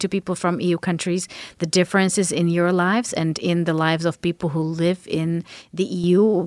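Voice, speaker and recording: A woman with a Slovak accent and a fairly low pitch at a moderate pace, recorded very cleanly and dry and close with no echo against a silent background. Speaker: podcast host. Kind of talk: moderated panel discussion. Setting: studio.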